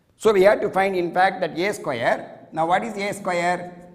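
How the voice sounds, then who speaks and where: The man's voice sits high in pitch. There is audible echo from the room. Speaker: mathematics lecturer. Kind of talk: lecture.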